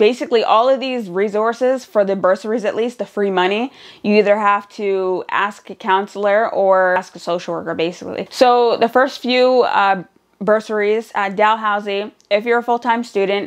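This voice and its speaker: Against a quiet background, a woman with a Nova Scotian accent speaks at a moderate pace, her fairly high voice keeping a fairly even intonation. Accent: Canadian (Nova Scotian). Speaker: vlogger and student single mother. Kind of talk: casual vlog talk.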